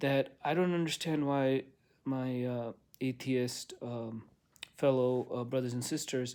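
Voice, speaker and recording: Over a silent background in a very clean recording, a man with a medium pitch speaks at a very slow pace with fairly even intonation. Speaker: religious video blogger. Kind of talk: casual monologue. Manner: slow, halting.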